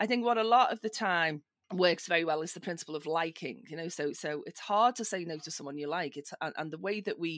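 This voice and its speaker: In a Liverpool accent, a woman speaks at a fairly quick pace with fairly low pitch and ordinary pitch variation. The recording is very clean, with a silent background. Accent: British, Liverpool. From northern England, Liverpool. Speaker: social engineer, security tester. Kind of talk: podcast interview.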